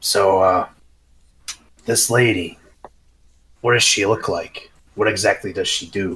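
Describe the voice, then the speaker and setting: Using a raspy put-on character voice, a man speaks at a fairly low pitch and a fairly slow pace, with long, frequent pauses. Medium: actual play.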